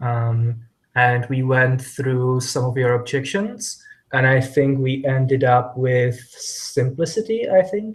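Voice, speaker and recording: A man with a non-native accent, fairly high-pitched and somewhat breathy, with lively intonation at a fairly slow pace. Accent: foreign. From Czech Republic. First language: Czech. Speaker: IT developer. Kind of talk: casual chat. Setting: video call.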